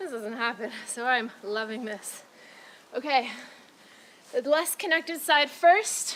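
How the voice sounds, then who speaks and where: A woman's high voice with lively intonation, big swings in loudness, a fairly slow pace, long and frequent pauses, and noticeable background noise. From Britain. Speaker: fitness trainer. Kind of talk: workout instruction. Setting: outdoors.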